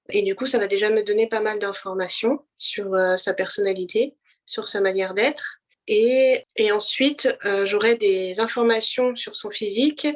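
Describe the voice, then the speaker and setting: A woman speaks at a fairly slow pace with a fairly high pitch and ordinary pitch variation, on a very clean recording with a silent background. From France, Paris. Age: 30s. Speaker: blind guest, wellness association founder. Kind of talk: interview testimony. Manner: halting, many hesitations.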